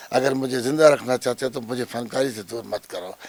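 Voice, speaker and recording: A man with a medium pitch talks at a moderate pace. His intonation is monotone and flat. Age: 70s. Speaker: theater director and actor. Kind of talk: interview.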